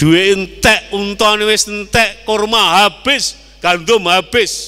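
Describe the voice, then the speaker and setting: Speaking with a Javanese accent, a man talks at a very slow pace. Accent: Javanese-accented Indonesian. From East Java, Indonesia. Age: 60s. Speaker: Islamic preacher; preacher. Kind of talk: sermon. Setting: mosque. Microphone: handheld.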